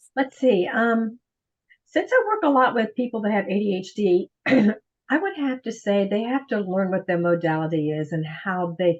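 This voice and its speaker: A woman of medium pitch talks at a moderate pace in a normal speaking voice with lively intonation. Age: 60s. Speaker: professional organizer. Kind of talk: interview.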